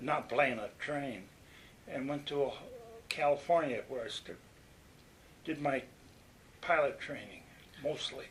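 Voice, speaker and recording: A fairly high-pitched man with a Western New York accent, fairly even intonation and a fairly slow pace. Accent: Western New York American. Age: 90s. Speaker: war veteran. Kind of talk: oral history interview. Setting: nursing home. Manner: halting.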